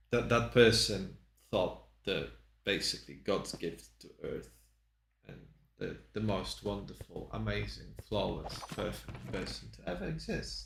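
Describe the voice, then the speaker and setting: In a Polish accent, the voice swings widely in both pitch and loudness, with vocal fry. The room adds audible echo. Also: man, very deep, low pitch for a man, fairly slow pace. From Poland. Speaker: streamer. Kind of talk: casual gameplay commentary.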